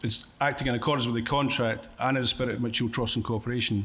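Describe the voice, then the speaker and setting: A man with a Scottish accent speaks at a medium pitch with fairly even intonation, and room echo is audible. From Scotland. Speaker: conference speaker, contract coach. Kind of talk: conference presentation. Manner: fast.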